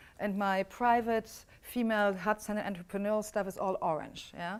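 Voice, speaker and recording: A woman's fairly high, fairly quick speech in a German accent, on a very clean recording with a silent background. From Germany. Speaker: business coach. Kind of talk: workshop teaching.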